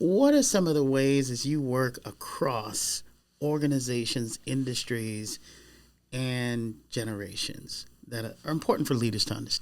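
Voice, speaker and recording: A man talks at a fairly slow pace in an unremarkable speaking voice of medium pitch. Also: ordinary pitch variation. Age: 60s. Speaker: podcast host, organizational psychologist and executive coach. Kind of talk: podcast interview.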